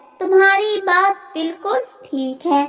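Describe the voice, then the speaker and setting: This woman uses a put-on character voice. It is squeaky and extremely high in pitch. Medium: read story.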